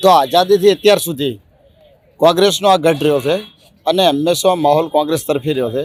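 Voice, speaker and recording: A man with a fairly high pitch and ordinary pitch variation speaks in an unremarkable speaking voice. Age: young. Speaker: voter interviewed on the street. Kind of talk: street interview.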